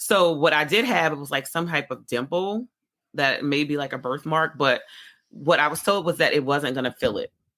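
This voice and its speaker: Bright and sharp in tone, a woman's very deep, low voice moves with ordinary pitch variation. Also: moderate pace. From New Orleans. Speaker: pharmacist. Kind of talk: podcast interview answer.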